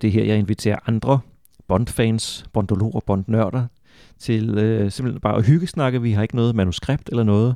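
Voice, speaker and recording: Here is a man with a normal speaking voice at medium pitch. He keeps a moderate pace and fairly even intonation, in a dry, close sound with no echo. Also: quiet background. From Denmark, Funen. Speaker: podcast host, author and translator. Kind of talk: casual chat; scripted intro.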